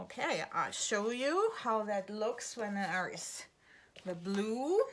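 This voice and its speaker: The delivery is very slow, with a relaxed tone and lively intonation. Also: woman, fairly high pitch for a woman. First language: German. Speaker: art teacher. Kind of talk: tutorial. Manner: relaxed, with fillers.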